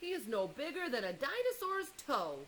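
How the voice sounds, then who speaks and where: Over clear background noise, a woman uses a put-on character voice, pitched high and moving through very wide pitch swings. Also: moderate pace. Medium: read story. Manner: loud, blustering.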